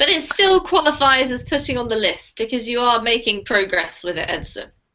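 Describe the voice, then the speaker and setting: Her pace is fairly quick and her pitch high. This woman's voice moves in very wide pitch swings. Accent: English. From England. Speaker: online English teacher. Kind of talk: online language class. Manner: friendly, encouraging.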